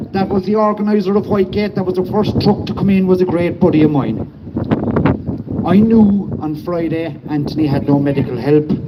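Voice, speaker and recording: Noticeable background noise sits behind a man with a high voice. He talks at a fairly quick pace with ordinary pitch variation. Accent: Cork. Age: 50s. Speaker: protest speaker, former nurse and medic. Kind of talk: protest speech. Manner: impassioned.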